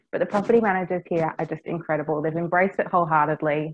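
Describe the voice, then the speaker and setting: Speaking at a very fast pace, a woman with an Australian accent keeps a fairly low pitch and fairly even intonation. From Australia, Cairns, Far North Queensland. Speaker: property management business developer. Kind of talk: interview.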